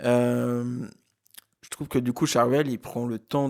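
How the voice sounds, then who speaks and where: A man's medium pitch holds a monotone, flat intonation as he talks at a fairly slow pace. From eastern France, Haute-Marne (Saint-Dizier). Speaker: film podcast co-host. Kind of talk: casual chat. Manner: hesitant, many fillers.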